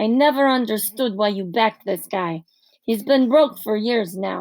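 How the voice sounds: With ordinary pitch variation and a quiet background, the speaker uses a natural reading voice.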